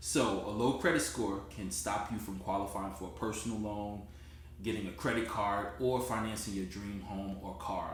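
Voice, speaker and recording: With a New Jersey accent, a man speaks at a moderate pace and fairly low pitch with lively intonation. Noticeable background noise and audible room echo accompany him. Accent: New Jersey American. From US Northeast, Newark, New Jersey. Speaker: credit repair consultant. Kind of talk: sales pitch. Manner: direct, conversational.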